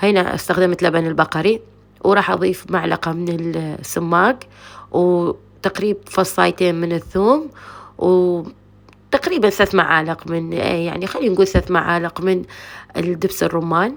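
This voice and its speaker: A woman speaks with an Iraqi accent at a fairly low pitch. Her pace is fairly slow, and her pitch variation is ordinary. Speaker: cooking channel host. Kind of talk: cooking tutorial. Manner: casual, chatty.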